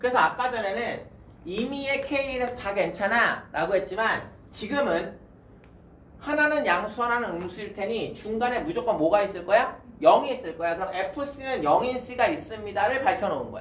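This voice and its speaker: Speech moves at a moderate pace. Noticeable background noise runs underneath. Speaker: math tutor. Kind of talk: lecture. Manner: casual.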